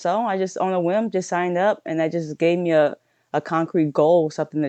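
A woman with a slight Louisiana accent talks at a fairly quick pace in a fairly low pitch, her dark, mellow tone and fairly even intonation caught in a dry, close sound with no echo over a quiet background. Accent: Southern Louisiana accent, slight. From southern Louisiana. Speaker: powerlifter and coach. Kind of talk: casual interview conversation.

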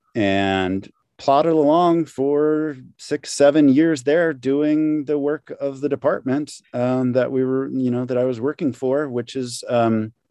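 In an American accent, a man with a medium pitch and a dark, mellow tone speaks at a fairly slow pace with ordinary pitch variation, the sound dry and close with no echo. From St. Louis, Missouri, US Midwest. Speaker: sound department manager. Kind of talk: interview.

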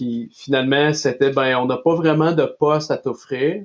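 A plain, everyday voice from a man at a fairly slow pace, with ordinary pitch variation. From Nova Scotia, Canada (Quebecois parents). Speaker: athletic therapist. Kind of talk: casual interview.

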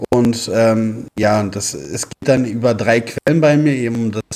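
This man speaks at a fairly slow pace in a dark, mellow tone, pitched medium. The sound is dry and close with no echo, and his pitch varies in an ordinary way. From Berlin, Germany. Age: 30s. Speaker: FIFA and mental coach. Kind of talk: interview.

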